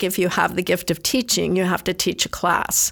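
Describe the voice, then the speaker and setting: A woman's voice with vocal fry. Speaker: church volunteer speaker. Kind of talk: prepared talk. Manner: halting.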